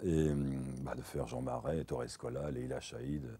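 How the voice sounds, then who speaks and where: A man's very deep, low voice with vocal fry and a dark, mellow tone. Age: 60s. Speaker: voice actor. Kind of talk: interview monologue. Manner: halting.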